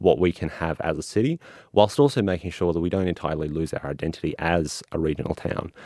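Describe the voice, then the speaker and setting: Recorded very cleanly against a silent background, a man with an Australian accent speaks in a very deep, low voice with ordinary pitch variation, the sound dry and close with no echo. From Toowoomba, Queensland, Australia. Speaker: council candidate. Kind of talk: interview.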